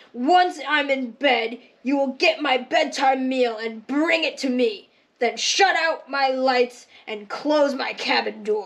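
In a cartoonish character voice, a female-sounding voice growls at a high pitch and a fairly slow pace, as part of the act. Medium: puppet show. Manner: bossy, barking orders.

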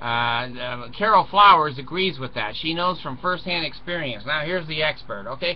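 A man with a fairly high pitch talks at a moderate pace using lively intonation.

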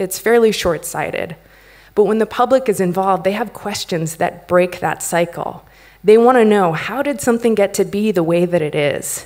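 Against a quiet background, a woman with an American accent uses a normal speaking voice at a medium pitch and moderate pace, with ordinary pitch variation. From United States. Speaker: company founder and CEO; conference speaker. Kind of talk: conference talk. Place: stage. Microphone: podium.

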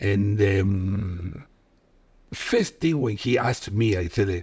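Over a quiet background, a man with a Peruvian accent speaks very slowly in a fairly low, somewhat breathy voice. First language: Spanish. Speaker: football coach and former player. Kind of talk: casual interview chat. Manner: halting, non-native English. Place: home room. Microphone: studio mic.

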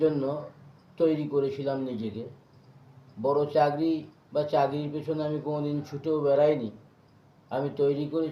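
A man talks at a fairly high pitch with monotone, flat intonation. The room echo is audible. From West Bengal, Purba Bardhaman district. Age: 40s. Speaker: social worker. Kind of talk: interview testimony.

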